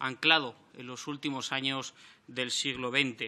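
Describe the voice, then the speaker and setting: A man talks at a fairly slow pace with a bright, sharp tone. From Spain. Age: 30s. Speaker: member of parliament. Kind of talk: parliamentary speech. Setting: parliament chamber. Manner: formal. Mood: combative, reproachful. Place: meeting room. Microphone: podium.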